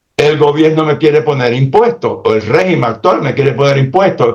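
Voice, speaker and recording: This man's animated delivery has very wide pitch swings. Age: 80s+. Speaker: political commentator. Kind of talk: political talk show discussion.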